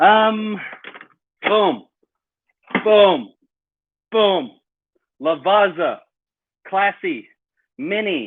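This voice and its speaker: Long, frequent pauses interrupt speech delivered very slowly. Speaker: equipment specialist vlogger. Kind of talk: live product demo. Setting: home, live stream on laptop. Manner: casual, stammering.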